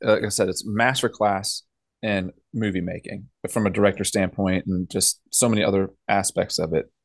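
With an American accent, a man speaks at a moderate pace and fairly even intonation. His fairly low voice has a dry, close sound with no echo and a quiet background. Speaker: podcast co-host. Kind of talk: casual chat. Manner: smooth-talking.

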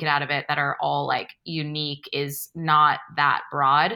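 Speaking in an American accent, a woman uses a very deep, low pitch. Her bright, sharp tone moves at a fairly slow pace. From California, San Francisco Bay Area. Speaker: agency founder and creative director. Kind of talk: casual interview.

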